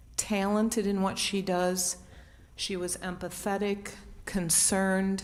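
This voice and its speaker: Fairly slow, medium-pitched speech from a woman amid audible room echo. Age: 60s. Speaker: public commenter at village board meeting. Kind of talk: public comment testimony. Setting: village board meeting.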